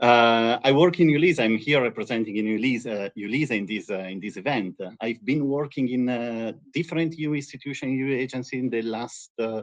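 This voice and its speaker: A man's medium-pitched voice at a fairly quick pace, with ordinary pitch variation and hardly any pauses. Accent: strong Italian. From Italy. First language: Italian. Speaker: EU agency representative. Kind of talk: webinar presentation. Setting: live stream webinar.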